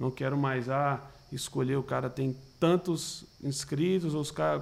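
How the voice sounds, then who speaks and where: A man's fairly high voice with fairly even intonation, an unremarkable speaking voice. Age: 20s. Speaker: talent manager for digital influencers. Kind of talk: casual interview.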